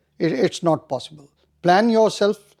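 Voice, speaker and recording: A man speaks with a Punjabi accent. His tone is dark and mellow. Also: quiet background. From India. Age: old. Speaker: retired army officer. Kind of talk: interview.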